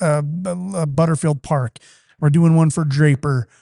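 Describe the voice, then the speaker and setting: Over a quiet background, a man with an American accent speaks at a moderate pace in a fairly high pitch with ordinary pitch variation, an unremarkable speaking voice. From Utah. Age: 40s. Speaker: company executive. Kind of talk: casual chat. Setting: studio.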